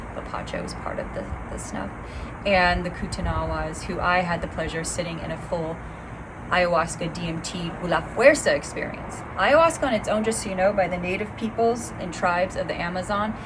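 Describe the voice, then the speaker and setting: Noticeable background noise surrounds a woman speaking at a medium pitch and a fairly quick pace, with ordinary pitch variation. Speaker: spiritual teacher, plant medicine facilitator. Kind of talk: online class talk.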